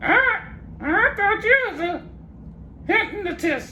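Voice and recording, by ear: Over clear background noise, a man does a put-on character voice at an extremely high pitch, speaking at a very slow pace.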